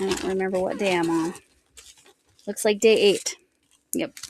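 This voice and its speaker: At a fairly slow pace, a woman speaks with an American accent at medium pitch. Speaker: crochet vlogger. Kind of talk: casual chat. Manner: animated.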